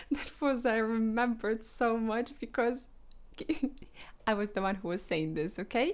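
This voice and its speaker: A woman speaks with a non-native accent and a fairly high pitch. Her pitch varies in an ordinary way, and she leaves long, frequent pauses. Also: moderate pace. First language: not English. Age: 20s. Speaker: vlogger. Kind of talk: casual vlog monologue. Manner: halting, with hesitations.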